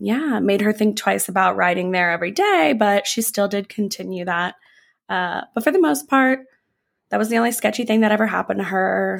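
On a very clean recording with a silent background, a woman speaks with an animated tone. Her pitch is medium, with ordinary pitch variation. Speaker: podcast host. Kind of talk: true-crime narration, read in a steady storytelling tone. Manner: conversational and casual, mixing narration with asides and slang; animated and chatty.

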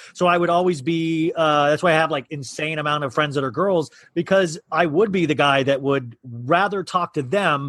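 An unremarkable speaking voice from a man, with a moderate pace, a fairly high pitch and ordinary pitch variation. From Kansas. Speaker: actor and podcaster. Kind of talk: casual chat.

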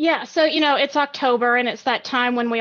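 Over music in the background, a woman with an American accent talks at a very fast pace. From US South, Alabama. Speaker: equity strategist. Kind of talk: interview.

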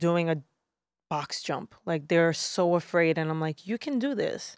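A woman with a New York accent speaks in a fairly low pitch on a very clean recording with a silent background. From Brooklyn, New York. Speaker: fitness trainer. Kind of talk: casual chat.

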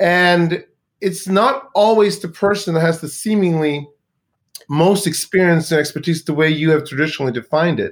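At a moderate pace, a man speaks with a high pitch and ordinary pitch variation on a very clean recording with a silent background. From Sweden. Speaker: business consultant and author. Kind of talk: interview.

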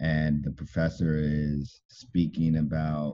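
The man's pitch is very deep and low. A dark, mellow tone colors his voice. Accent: American. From Southern California, inland Los Angeles area. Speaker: architect. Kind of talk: interview. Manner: halting, many fillers and restarts.

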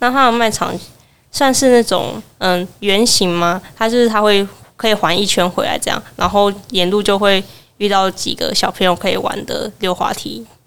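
At a moderate pace, a woman talks in a normal speaking voice, medium in pitch, with fairly even intonation. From Taiwan, Kaohsiung. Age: 20s. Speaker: university student. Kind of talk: interview, personal memories. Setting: live podcast booth at a festival.

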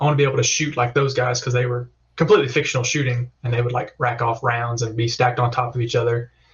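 Very fast and somewhat breathy, a man with a Southern US accent speaks at a medium pitch in a flat monotone. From Alabama.

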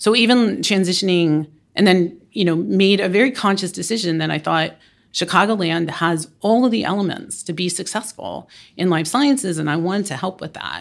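An ordinary speaking voice from a woman, medium-pitched, moderately paced, with ordinary pitch variation. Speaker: biomedical consortium director. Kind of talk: panel discussion.

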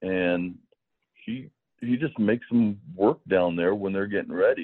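A man's fairly low voice, a normal speaking voice, at a fairly slow pace. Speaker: baseball pitching coach. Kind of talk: interview chat.

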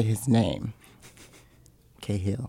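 The voice here is a man's. It sits at a medium pitch. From Seattle, US. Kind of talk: casual interview chat. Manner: soft-spoken.

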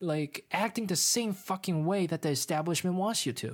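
Speaking at a fairly slow pace, a woman uses lively intonation in a medium-pitched, unremarkable speaking voice. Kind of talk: angry rant. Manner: furious, loud, swearing, venting.

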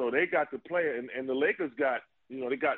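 In an American accent, a man talks at a fairly quick pace in an unremarkable speaking voice with a medium pitch. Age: 50s. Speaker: retired basketball player. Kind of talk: casual chat.

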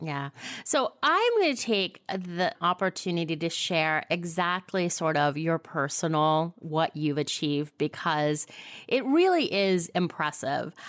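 A woman's plain, everyday voice, fairly low in pitch, at a fairly slow pace with ordinary pitch variation over a quiet background. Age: 50s. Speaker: podcast host. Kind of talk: interview.

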